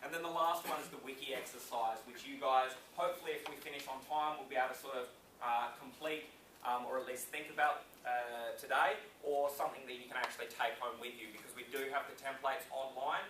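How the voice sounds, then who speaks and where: With an Australian accent, a man talks at a very fast pace and big swings in loudness. Noticeable background noise and audible room echo surround him. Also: medium pitch for a man. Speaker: business owner and speaker. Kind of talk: conference speech. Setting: stage with audience. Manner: casual, energetic.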